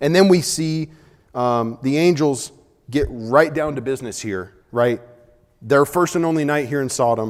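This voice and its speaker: A man with a normal speaking voice, medium pitch and lively intonation. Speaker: Bible class teacher. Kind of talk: Bible class lecture. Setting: church auditorium with class.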